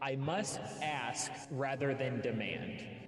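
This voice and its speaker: Clear music plays behind a man using a put-on character voice. He speaks at a very slow pace with a medium pitch. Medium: actual play.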